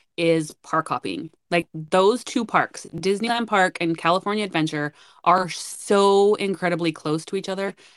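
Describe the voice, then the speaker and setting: With an American accent, a woman uses an ordinary speaking voice at a fairly low pitch, with ordinary pitch variation and a moderate pace. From northern Utah. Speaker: podcast co-host. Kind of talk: casual chat.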